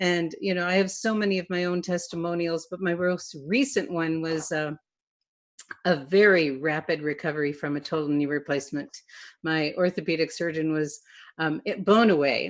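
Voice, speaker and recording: A woman speaks in a normal speaking voice at a moderate pace. Her pitch is fairly low, with ordinary variation. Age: 60s. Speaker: event host. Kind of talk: webinar discussion.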